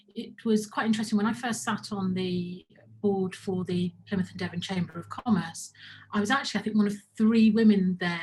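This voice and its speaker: This woman speaks at a moderate pace with a medium pitch, fairly even intonation and a somewhat breathy quality. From Birmingham, England. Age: 50s. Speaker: business owner. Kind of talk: talk to camera. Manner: halting, many repetitions.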